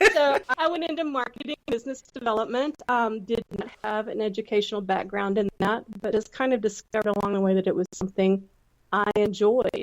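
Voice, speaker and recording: A woman talks at a fairly quick pace in a Southern US accent. Her fairly high voice shows ordinary pitch variation, and the sound is dry and close with no echo. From Texas. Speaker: entrepreneur, former counselor. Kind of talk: podcast interview.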